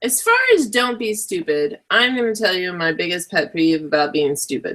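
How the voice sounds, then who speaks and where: Her pitch swings very widely around a medium level. The woman keeps a moderate pace. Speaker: web show co-host. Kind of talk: casual chat. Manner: animated.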